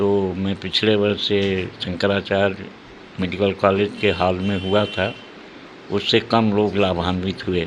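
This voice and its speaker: Noticeable background noise sits behind a man speaking. His pitch is fairly low and his intonation monotone and flat. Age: 80s+. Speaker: event organiser and educational institution head. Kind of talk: news interview. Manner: halting.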